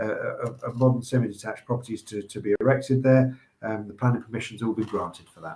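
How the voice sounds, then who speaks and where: A somewhat breathy, medium-pitched male voice. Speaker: auctioneer presenting property lots. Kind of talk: casual banter while presenting live online auction lots.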